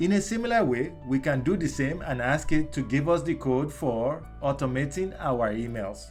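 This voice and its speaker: A man with a Nigerian accent, medium-pitched, at a moderate pace, with lively intonation and music in the background. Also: hardly any pauses. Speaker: explainer. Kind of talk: tech tutorial narration. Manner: dramatic, friendly.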